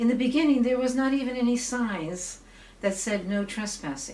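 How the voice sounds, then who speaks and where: In a room with audible echo and noticeable background noise, a woman talks at a medium pace. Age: 60s. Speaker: local activist, amateur documentarian. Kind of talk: documentary interview; casual chat.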